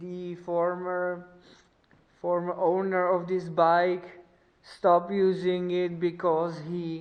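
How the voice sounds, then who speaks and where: A woman with a non-native accent speaks very slowly. Her pitch is fairly low. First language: not English. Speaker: motorcycle mechanic vlogger. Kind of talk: tutorial. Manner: halting.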